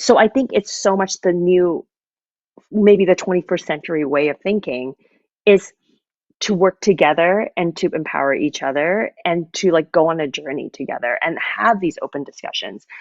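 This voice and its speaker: In a Canadian accent, a woman with a fairly low voice talks at a moderate pace with ordinary pitch variation, a plain, everyday voice, the sound dry and close with no echo. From Canada, Vancouver. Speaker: musical theater music director. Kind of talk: interview conversation.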